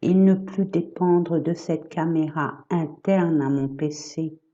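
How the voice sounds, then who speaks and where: A soft-spoken woman with a dark, mellow tone, ordinary pitch variation and a very slow pace. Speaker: energy therapist and medium. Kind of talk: casual vlog chat. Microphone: built-in laptop camera mic.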